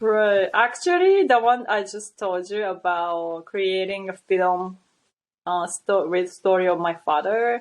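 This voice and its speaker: A woman's medium-pitched voice with fairly even intonation at a very slow pace. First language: not English. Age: 30s. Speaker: model and actress. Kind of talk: interview conversation. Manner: halting, with many restarts.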